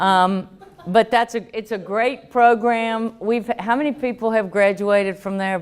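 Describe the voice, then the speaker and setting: A woman's fairly high voice with a strong Southern US accent, fairly slow in pace and fairly even in intonation. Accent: thick Southern US. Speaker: economic development official. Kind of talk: workshop presentation.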